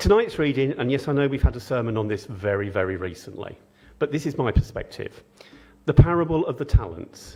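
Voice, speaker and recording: The voice is somewhat breathy and moves at a fairly quick pace, with very wide pitch swings. The recording is very clean, with a silent background. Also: man. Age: 60s. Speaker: preacher. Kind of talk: sermon. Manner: informal.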